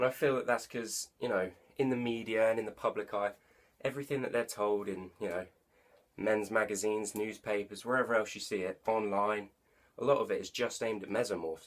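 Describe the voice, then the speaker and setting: A man with an English accent speaks at a fairly quick pace. His intonation stays fairly even. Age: young. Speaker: online personal trainer. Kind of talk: casual talk to camera.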